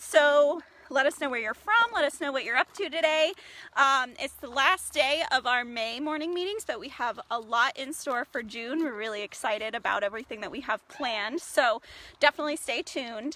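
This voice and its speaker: A woman's raised, projected voice has a bright, sharp tone and lively intonation at a moderate pace, with dry sound and no echo. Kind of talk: casual livestream talk and education. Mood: cheerful, friendly. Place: forest. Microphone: phone near.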